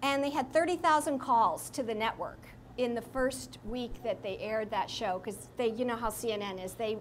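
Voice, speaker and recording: This woman has an unremarkable speaking voice with a fairly high pitch. She talks at a moderate pace with lively intonation. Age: 60s. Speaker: speaker sharing her recovery story. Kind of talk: talk to an audience. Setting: live audience in a room. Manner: conversational with fillers.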